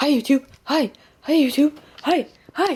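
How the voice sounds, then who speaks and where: The speaker uses a high-pitched, put-on character voice. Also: moderate pace. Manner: excited, greeting.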